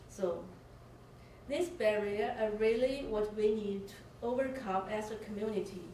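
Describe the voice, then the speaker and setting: A woman's fairly high voice in a Chinese accent, fairly slow with long, frequent pauses and ordinary pitch variation, amid noticeable background noise and audible room echo. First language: Mandarin Chinese. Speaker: panel speaker, community activist. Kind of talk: bilingual public talk. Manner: hesitant, many fillers.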